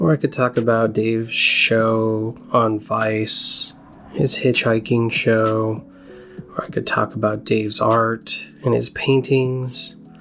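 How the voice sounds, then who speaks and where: Over music in the background, a man speaks very slowly with very even loudness. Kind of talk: casual introduction to a reading. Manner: raw, unpolished reading.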